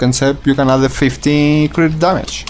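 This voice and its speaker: A fairly high-pitched man talks at a moderate pace as noticeable background noise runs beneath him. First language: not English. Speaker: gaming video creator. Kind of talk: gameplay tutorial. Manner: halting, many restarts and repetitions; casual, swears.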